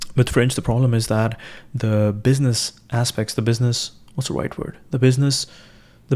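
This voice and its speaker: A man with an Indian accent speaks at a fairly quick pace in a dark, mellow tone, his intonation fairly even. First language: Hindi. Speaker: live streamer. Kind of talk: casual livestream monologue. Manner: halting, many fillers and restarts.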